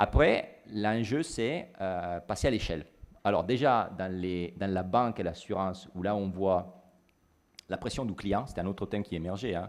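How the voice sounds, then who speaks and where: Speaking at a moderate pace with ordinary pitch variation, a man with a slight Italian accent has a very deep, low pitch. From Italy. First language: Italian (speaking French). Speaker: business consultant. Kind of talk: panel discussion. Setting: stage with audience. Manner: halting.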